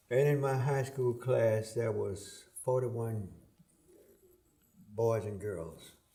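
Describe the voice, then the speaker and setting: Dark, mellow tone from a man at medium pitch, somewhat breathy, with ordinary pitch variation, a very slow pace, long, frequent pauses, and audible room echo. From US South, Atlanta, Georgia. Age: 80s+. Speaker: retired politician. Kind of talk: interview.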